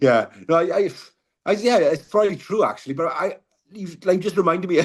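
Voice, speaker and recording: Speaking at a fairly quick pace, a man with a Welsh accent uses a high pitch. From Wales. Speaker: car crash survivor, mental health advocate. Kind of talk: podcast interview. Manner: fast.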